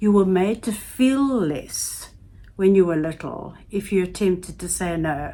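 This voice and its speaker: Speaking at a very slow pace, a woman has a dark, mellow tone, a medium pitch and ordinary pitch variation. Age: 70s. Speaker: YouTube life advice vlogger. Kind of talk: casual advice talk to camera.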